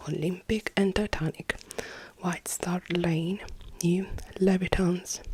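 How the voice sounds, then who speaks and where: A soft-spoken woman talks at a very slow pace with a fairly low pitch. Background noise is noticeable throughout. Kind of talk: ASMR roleplay reading of replica papers.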